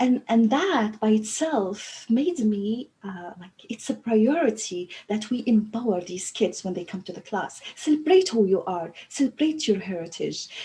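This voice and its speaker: A woman with an Arabic accent, fairly high pitch, fairly slow pace, lively intonation, big swings in loudness and hardly any pauses, over noticeable background noise. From Libya. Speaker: language teacher trainer. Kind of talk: panel discussion. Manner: halting.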